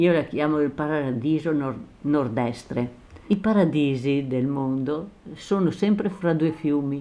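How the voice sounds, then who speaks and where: Speaking at a fairly slow pace with a Venetian accent, a woman uses a very deep, low pitch and a dark, mellow tone, her pitch varying in an ordinary way. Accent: Venetian-accented Italian. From Veneto, Orsago (Treviso area). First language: Venetian dialect (speaking Italian). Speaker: retired schoolteacher and author. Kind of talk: interview. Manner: halting.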